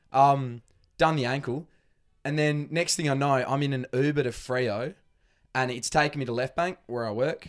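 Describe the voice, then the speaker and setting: A man with an Australian accent speaks at a moderate pace in a fairly high voice, his intonation fairly even. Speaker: footballer. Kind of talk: casual chat.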